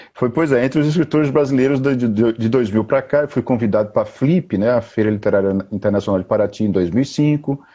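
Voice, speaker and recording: A man's dark, mellow voice at medium pitch, fairly quick with hardly any pauses, ordinary pitch variation and very even loudness. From Bahia, Brazil (interior, Bom Jesus da Lapa). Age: 40s. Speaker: poet and writer. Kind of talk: interview on a live stream. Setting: online live video call.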